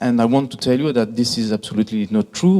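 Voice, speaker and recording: Someone with a French accent talks at a fairly quick pace with lively intonation. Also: man. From France, Greek heritage. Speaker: hospitality industry executive. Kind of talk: conference presentation. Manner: hesitant, many fillers.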